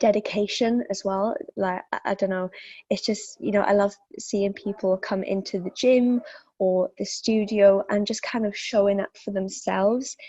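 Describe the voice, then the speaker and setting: A woman with a slight Welsh accent speaks at a medium pitch. Her pace is fairly slow and her intonation fairly even. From South Wales. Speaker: fitness instructor. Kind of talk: interview. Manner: hesitant, many fillers.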